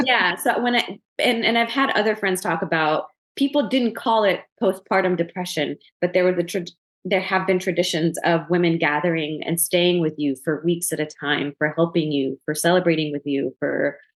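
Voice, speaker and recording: This is an unremarkable speaking voice at a moderate pace. The intonation is lively while the loudness stays very even. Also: woman, fairly low pitch for a woman. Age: young. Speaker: psychotherapist. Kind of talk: interview.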